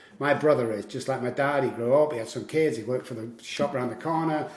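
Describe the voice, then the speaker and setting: Amid audible room echo and noticeable background noise, a man talks at a very fast pace with ordinary pitch variation. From Manchester, northern England. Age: 60s. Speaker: addiction recovery coach. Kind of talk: podcast interview. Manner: animated.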